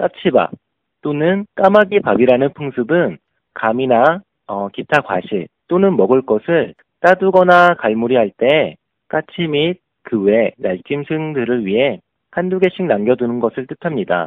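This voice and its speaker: A man speaks at a fairly high pitch, his voice making very wide pitch swings. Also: fairly slow pace. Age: 30s. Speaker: leadership education instructor. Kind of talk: prepared lecture.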